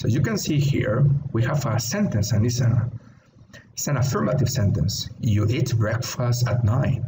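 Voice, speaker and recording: Amid noticeable background noise and audible room echo, a man speaks at medium pitch with ordinary pitch variation and very even loudness. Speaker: English teacher. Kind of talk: online English lesson. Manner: slow, clear teaching pace.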